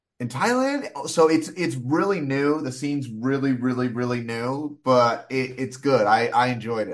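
At a moderate pace, a man talks in a normal speaking voice of medium pitch against a quiet background. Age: 30s. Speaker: comedian. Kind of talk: casual chat.

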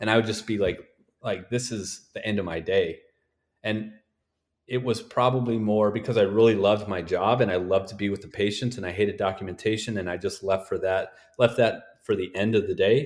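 A man with an American accent speaks in a plain, everyday voice at a fairly low pitch and a fairly quick pace, with fairly even intonation. The recording is very clean, with a silent background. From North Dakota, US. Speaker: sports physical therapist. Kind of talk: podcast interview.

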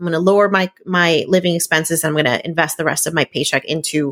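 A woman with a fairly low pitch speaks at a fairly quick pace. Her pitch varies in an ordinary way, and the sound is dry and close with no echo. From New Jersey, Puerto Rican family. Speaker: entrepreneur and food blogger. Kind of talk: interview.

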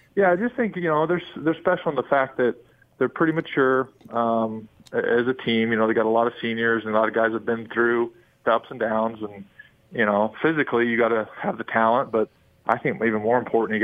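Here is a man with an unremarkable speaking voice and an American accent. He talks at a fairly quick pace with a medium pitch and ordinary pitch variation. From Utah County. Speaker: former college basketball player. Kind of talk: radio interview.

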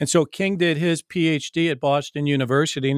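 A man with an Upper Midwest accent speaks at a fairly quick pace with fairly even intonation, in a dry, close sound with no echo on a very clean recording against a silent background. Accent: Upper Midwest American. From Michigan, East Lansing. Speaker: college president. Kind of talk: interview. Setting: call.

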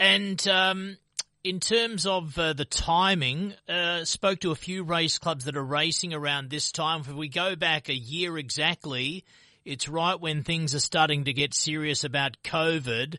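With a normal speaking voice, a man talks at a fairly slow pace, fairly high in pitch with ordinary variation, against a quiet background. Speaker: radio host. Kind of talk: radio interview.

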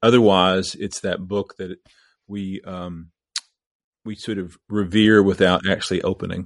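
With an American accent, a man speaks at a fairly slow pace in a monotone, flat intonation, leaving long, frequent pauses and making big swings in loudness, in a dry, close sound with no echo against a quiet background. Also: fairly low pitch for a man. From US Midwest, southeast Missouri. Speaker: bishop. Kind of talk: casual conversation.

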